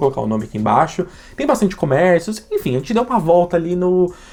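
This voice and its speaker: A man's animated tone with very wide pitch swings. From Brazil. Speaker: YouTuber. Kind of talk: vlog.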